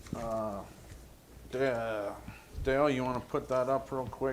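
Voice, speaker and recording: Medium pitch from a man, flat and monotone in intonation. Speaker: township trustee. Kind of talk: public meeting report. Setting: township meeting room. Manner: loud.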